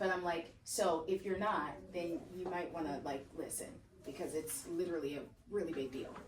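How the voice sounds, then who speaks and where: Through noticeable background noise and audible room echo, a woman speaks fairly quickly at a fairly low pitch in an animated tone with ordinary pitch variation. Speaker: real estate agent. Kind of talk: training session. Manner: fast.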